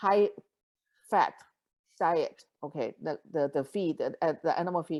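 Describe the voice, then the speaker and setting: A woman's very slow speech comes through on a very clean recording with a silent background. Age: 70s. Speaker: nutritionist and network marketing leader. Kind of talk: interview. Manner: halting.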